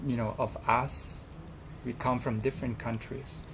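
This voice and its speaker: The speaker goes at a fairly slow pace with a Thai accent. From Thailand. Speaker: student representative. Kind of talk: interview. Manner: halting.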